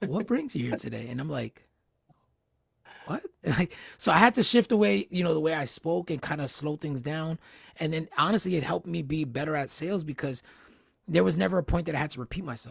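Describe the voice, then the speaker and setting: A man with vocal fry speaks fairly quickly at a fairly high pitch, his intonation lively. Long, frequent pauses break up the dry, close, echo-free sound. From New Jersey. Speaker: interview series host. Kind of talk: casual interview chat. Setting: livestream. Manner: fast.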